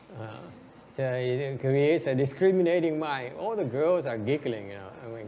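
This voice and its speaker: Here is a man with a central Vietnamese accent and medium pitch. He talks at a moderate pace with lively intonation. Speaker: interpreter. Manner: playful, joking.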